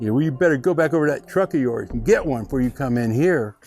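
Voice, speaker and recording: Over faint music in the background, a man rattles along at a very fast pace in a put-on character voice, growling and gruff, with fairly high pitch and ordinary variation. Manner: growling, threatening.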